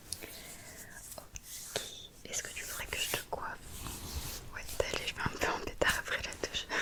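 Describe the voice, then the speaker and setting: Whispering at a moderate pace, a woman leaves long, frequent pauses amid noticeable background noise. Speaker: ASMR content creator. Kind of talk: ASMR roleplay, caring friend soothing a headache. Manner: whispered, soft-spoken. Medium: role play.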